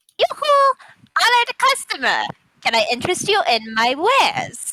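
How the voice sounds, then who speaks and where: In a put-on character voice, a woman speaks at a moderate pace with an extremely high pitch and a cheerful tone. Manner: cheerful, hawking wares.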